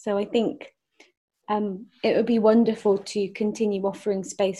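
A woman's fairly high, somewhat breathy voice, dark and mellow in tone, at a fairly slow pace. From England, Forest of Dean (Gloucestershire). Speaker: performance artist and musician. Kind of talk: interview conversation.

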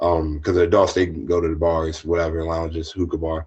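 A man speaks in a very deep, low pitch with an American accent. His voice is somewhat breathy. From US East Coast, southern Maryland. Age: 20s. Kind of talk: casual interview. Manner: halting.

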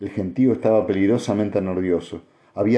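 The speaker reads in a natural reading voice.

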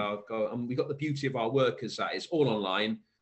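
A man speaks with ordinary pitch variation and a slight Welsh accent. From South Wales. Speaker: poet. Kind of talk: interview chat.

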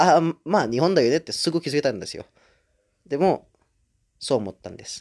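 A man talks at a fairly high pitch with vocal fry, lively intonation, big swings in loudness and long, frequent pauses. The sound is dry and close with no echo, on a very clean recording with a silent background. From Indonesia. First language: Indonesian (speaking Japanese). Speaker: podcaster. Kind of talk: casual solo monologue. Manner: halting, many fillers.

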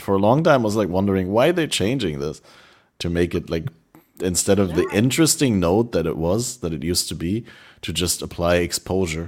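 A man with a German accent speaks at a fairly quick pace in a very deep, low pitch, his intonation lively, on a very clean recording with a silent background. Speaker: podcast host. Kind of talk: casual chat.

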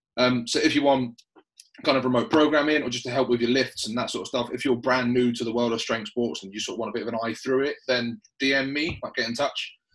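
Very fast delivery in a southern English accent, with fairly even intonation. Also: man, medium pitch for a man. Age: 30s. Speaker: personal trainer and podcast host. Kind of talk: casual chat.

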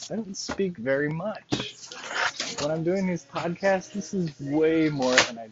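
Noticeable background noise behind a fairly slow pace. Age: 40s. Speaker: podcast host. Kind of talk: casual monologue.

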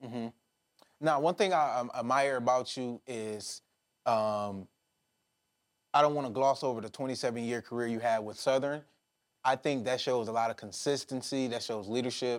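On a very clean recording with a silent background, a man of medium pitch speaks at a moderate pace with long, frequent pauses. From Detroit, US Midwest. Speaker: podcast host. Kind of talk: interview.

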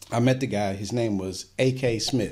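A man's somewhat breathy, medium-pitched voice with an American accent, at a fairly slow pace. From US, Washington D.C. area. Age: 50s. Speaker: radio host. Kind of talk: interview.

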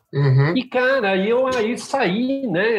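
A man speaks with very wide pitch swings. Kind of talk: casual interview chat.

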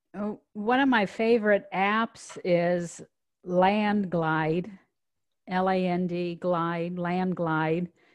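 With an American accent, a woman has an unremarkable speaking voice at a medium pitch with fairly even intonation. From US Midwest (Omaha, Nebraska). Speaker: commercial real estate business owner. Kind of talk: interview.

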